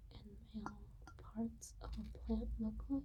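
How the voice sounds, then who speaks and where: A soft-spoken whisper at a very slow pace. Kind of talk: ASMR ramble about flowers and plant biology. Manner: soft-spoken to whispering, slow and relaxing.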